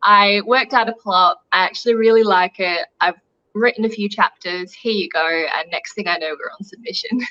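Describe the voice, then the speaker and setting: A woman's medium-pitched, bright, sharp voice with an Australian accent, ordinary pitch variation and a moderate pace, in a dry, close sound with no echo. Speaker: young adult author. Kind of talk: interview.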